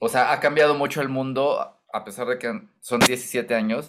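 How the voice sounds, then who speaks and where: Against a quiet background, a man with a Mexican accent talks in a medium pitch with ordinary pitch variation. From Mexico, Michoacán. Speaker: singer-songwriter; interviewee. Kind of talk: interview. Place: home room.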